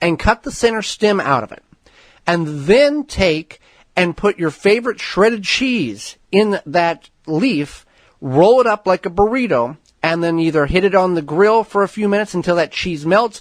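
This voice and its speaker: A high-pitched male voice with lively intonation, dry and close with no echo, against a quiet background. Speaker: radio gardening show host. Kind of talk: radio talk show answer.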